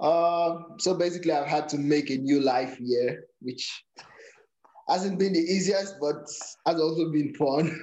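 With a fairly high pitch and ordinary pitch variation, a man talks at a fairly slow pace, leaving long, frequent pauses. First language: a Nigerian native language. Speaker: powerlifter. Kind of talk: casual interview.

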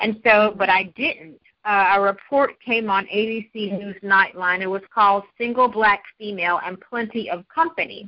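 With hardly any pauses, a woman speaks at a medium pitch in an unremarkable speaking voice. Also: ordinary pitch variation, fairly slow pace. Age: 40s. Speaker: journalist and author. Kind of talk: interview.

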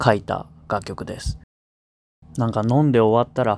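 A man speaks fairly slowly, and his pitch moves in an ordinary way. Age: 20s. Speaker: singer-songwriter, radio host. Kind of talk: radio talk show.

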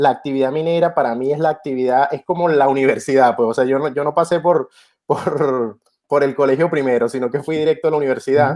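In a Venezuelan accent, a man talks at a moderate pace with a dark, mellow tone and ordinary pitch variation. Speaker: electrical engineer and crypto journalist. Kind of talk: interview.

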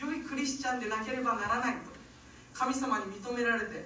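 There is noticeable background noise and audible room echo. Through it, a woman talks at a high pitch. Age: 30s. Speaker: pastor. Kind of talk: sermon.

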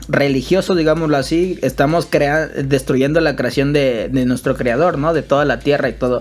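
Speaking with a Mexican accent at a moderate pace, a man keeps a fairly high pitch, fairly even intonation and very even loudness over music in the background. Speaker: podcast co-host. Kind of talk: casual chat.

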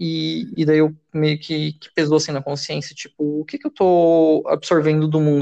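Recorded with a dry, close sound with no echo and a quiet background, a man speaks. His fairly high pitch comes with a dark, mellow tone. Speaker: podcast co-host. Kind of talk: casual chat.

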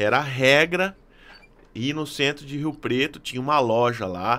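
A man speaks with a bright, sharp tone. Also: very clean recording, silent background. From Fernandópolis, interior of São Paulo. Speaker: drummer. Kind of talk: casual chat. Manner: halting.

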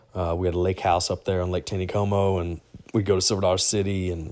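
With a very deep, low pitch, a man speaks very fast in a monotone, flat intonation. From US South, small-town Arkansas. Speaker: podcast host, teacher and football coach. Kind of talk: solo travel podcast monologue. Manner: casual, many fillers and restarts.

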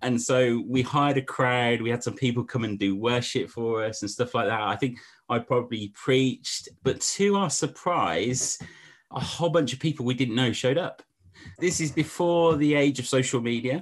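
A man with an English accent, medium pitch, ordinary pitch variation and a moderate pace against a quiet background. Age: 40s. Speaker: pastor and church planter. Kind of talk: casual interview chat.

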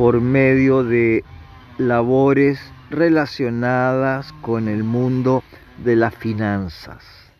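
Amid noticeable background noise, a man at medium pitch speaks at a very slow pace. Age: 70s. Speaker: tarot reader and astrology presenter. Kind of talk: monologue reading aloud an astrology text. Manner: halting, with fillers and self-corrections.

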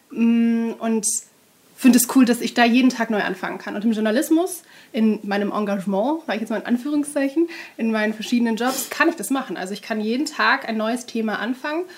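A woman speaks at a fairly quick pace with a fairly high pitch. Her pitch varies in an ordinary way, and there is noticeable background noise. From Germany, Duisburg (Ruhr area). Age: 20s. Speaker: journalist. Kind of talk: interview.

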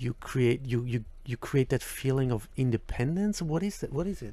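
Recorded very cleanly against a silent background, a man speaks at a medium pitch and a moderate pace. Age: 40s. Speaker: podcast host. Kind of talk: interview. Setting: face-to-face on a boat trip. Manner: halting, many fillers. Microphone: professional equipment.

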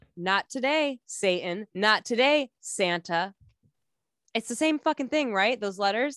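This woman has an unremarkable speaking voice with fairly high pitch and lively intonation, talking at a fairly slow pace in a very clean recording with a silent background and a dry, close sound with no echo. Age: 30s. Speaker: memoir author and podcast host. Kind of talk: casual chat.

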